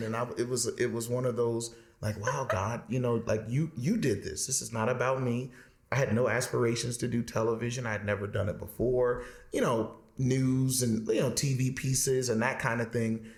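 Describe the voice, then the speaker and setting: A man talks at a moderate pace in a medium-pitched, somewhat breathy voice. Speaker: interview guest, new television host.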